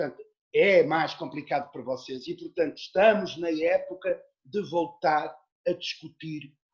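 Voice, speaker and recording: At a fairly slow pace, a man talks in an unremarkable speaking voice with a fairly high pitch and ordinary pitch variation. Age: 60s. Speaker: actor and theatre teacher. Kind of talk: interview conversation. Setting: video call.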